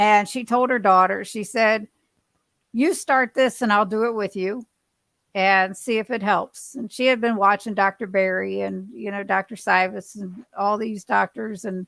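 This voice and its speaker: In a normal speaking voice, a woman talks at a moderate pace and medium pitch with fairly even intonation. The sound is dry and close with no echo on a very clean recording with a silent background. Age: 60s. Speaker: keto dieter sharing weight loss story. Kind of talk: casual chat.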